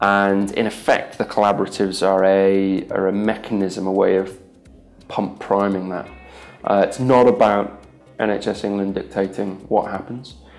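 Over faint background music, a man talks at a fairly low pitch in a flat, monotone delivery. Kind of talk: interview answer. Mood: earnest, measured. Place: office.

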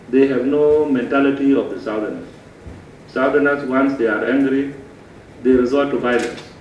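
A man talks amid audible room echo and noticeable background noise. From Southern Sudan, Warrap state. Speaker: Southern Sudanese official. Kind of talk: informal address to delegation. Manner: animated.

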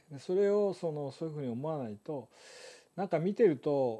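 Against a quiet background, a man with a fairly high pitch and a dark, mellow tone talks at a moderate pace with lively intonation. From Japan. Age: 70s. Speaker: photographer and live stream host; live stream host. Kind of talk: live stream talk to viewers. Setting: live stream. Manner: relaxed, conversational. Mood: relaxed, cheerful, laughing. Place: home room. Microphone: lapel.

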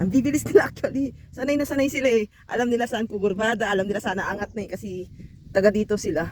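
The speech comes at a very fast pace. Noticeable background noise runs beneath it. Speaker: travel vlogger. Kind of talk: casual vlog narration. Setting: outdoors on a mountain road trip. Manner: loud.

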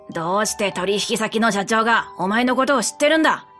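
Using a put-on character voice, a woman speaks at a moderate pace and a fairly high pitch over clear music in the background.

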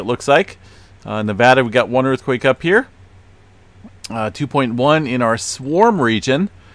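A man speaks at a moderate pace in a normal speaking voice, his pitch medium with ordinary variation. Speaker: earthquake and space weather YouTuber. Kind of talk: weather report. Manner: casual, relaxed, conversational; steady, matter-of-fact narration of map data, with frequent filler 'uh'.

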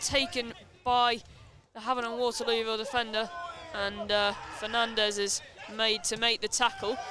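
Moderate pace with long, frequent pauses, clear music in the background, and a dry sound with no echo. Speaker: football match commentator. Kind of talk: live football commentary, highlights voiceover. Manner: breathless play-by-play delivery. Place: stadium.

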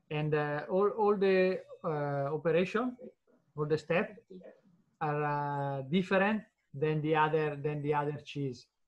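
Fairly slow speech with an Italian accent, long and frequent pauses, and a quiet background. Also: man, fairly high pitch for a man, ordinary pitch variation. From northern Italy, Lombardy. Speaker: cheese producer. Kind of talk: interview. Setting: video call. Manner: halting. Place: office. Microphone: video call.

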